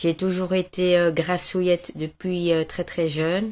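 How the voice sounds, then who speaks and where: The woman's voice sits fairly low in pitch. She talks very slowly. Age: 40s. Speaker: client giving a testimonial. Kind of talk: testimony. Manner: hesitant, many filler sounds.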